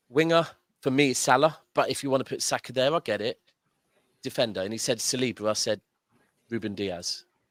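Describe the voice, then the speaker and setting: With a southern English accent, a man talks at a fairly quick pace in a medium pitch with ordinary pitch variation and long, frequent pauses, the sound dry and close with no echo and the recording very clean with a silent background. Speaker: football fan caller. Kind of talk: casual football chat. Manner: animated.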